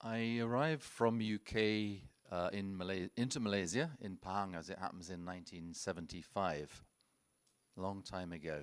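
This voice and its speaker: This man has a fairly low pitch with ordinary pitch variation and a moderate pace. The recording is very clean, with a silent background. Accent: British. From UK. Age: 70s. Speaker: wildlife conservationist. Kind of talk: conference presentation. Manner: halting, with frequent repetitions.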